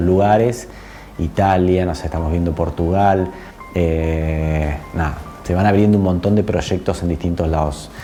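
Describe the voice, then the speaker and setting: A man with a Buenos Aires accent speaks at a fairly slow pace in a very deep, low pitch, with ordinary pitch variation. Music plays in the background, and the room echo is audible. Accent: Argentine, somewhat Buenos Aires (porteño). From Argentina, born in Córdoba. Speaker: spiritual channeler and energy healer. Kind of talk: casual interview. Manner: hesitant, many fillers and repetitions.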